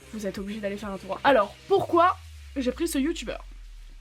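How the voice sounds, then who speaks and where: A woman at a fairly quick pace with very wide pitch swings, music in the background. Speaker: drawing YouTuber. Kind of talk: casual video commentary. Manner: hesitant, filler-heavy.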